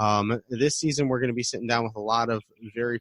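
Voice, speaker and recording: In a Midwestern accent, a man speaks at a medium pitch and a fairly quick pace with fairly even intonation, the sound dry and close with no echo on a very clean recording with a silent background. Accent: American Midwest. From US Midwest, Detroit. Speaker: podcast host. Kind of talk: casual interview.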